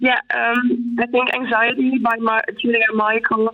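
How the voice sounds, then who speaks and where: There is noticeable background noise. Over it, a woman speaks at a fairly high pitch. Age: 20s. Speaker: mental health activist and psychology student. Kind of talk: interview. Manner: halting, many fillers.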